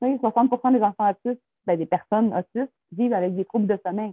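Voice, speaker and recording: A fairly quick woman's voice, fairly high and fairly even in intonation, in a Quebec accent. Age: 30s. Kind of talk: interview testimony.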